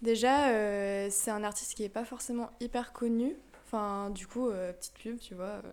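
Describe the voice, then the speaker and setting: At a fairly slow pace, a woman with an unremarkable speaking voice talks at a fairly high pitch with fairly even intonation. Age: 20s. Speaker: architecture student. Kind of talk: casual chat.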